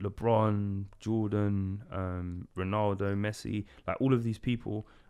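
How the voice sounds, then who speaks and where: A man speaks with a London accent. The background is quiet. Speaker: event organiser and photographer. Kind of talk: casual podcast chat. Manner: mumbling, many fillers.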